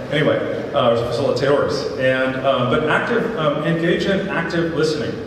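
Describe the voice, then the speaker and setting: Strong room echo and noticeable background noise surround a man speaking with ordinary pitch variation. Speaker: town hall facilitator. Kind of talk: event moderation. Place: stage.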